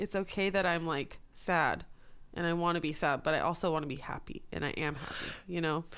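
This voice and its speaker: A woman with an American accent, a plain, everyday voice, a fairly low pitch, fairly even intonation and a fairly quick pace. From US West Coast, Los Angeles area. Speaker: songwriter and producer. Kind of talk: casual interview chat.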